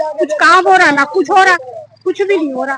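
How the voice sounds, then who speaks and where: A woman's raised, projected voice at an extremely high pitch, with ordinary pitch variation. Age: 60s. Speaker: resident facing eviction. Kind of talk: street interview.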